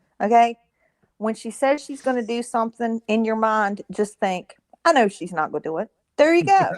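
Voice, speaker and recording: The sound is dry and close with no echo as a woman with a fairly high pitch speaks at a moderate pace. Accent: Southern US. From US South, southwestern Virginia. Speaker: caller. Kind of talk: casual chat.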